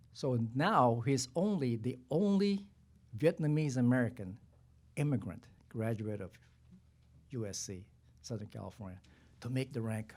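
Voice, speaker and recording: Speaking with a non-native accent, a man keeps a moderate pace and medium pitch. His intonation is lively. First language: not English. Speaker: retired army general. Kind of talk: panel discussion. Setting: press conference. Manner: halting.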